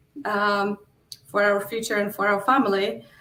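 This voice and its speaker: Here a woman speaks with a Polish accent at medium pitch. Her intonation is monotone and flat. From Poland. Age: 40s. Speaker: real estate investor. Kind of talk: interview.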